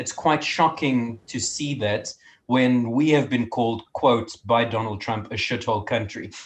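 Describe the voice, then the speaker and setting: Here a man talks at a moderate pace and a medium pitch, sounding somewhat breathy. His pitch varies in an ordinary way, and the background is quiet. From South Africa. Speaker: student association organiser. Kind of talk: casual chat.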